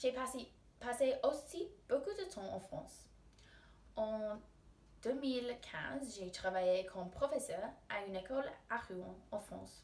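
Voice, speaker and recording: Very slow speech with long, frequent pauses, very wide pitch swings and big swings in loudness. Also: woman, high pitch for a woman. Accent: English. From England. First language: English (speaking French). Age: 20s. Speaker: university student. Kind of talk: recorded self-presentation for a class, like a job application. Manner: formal.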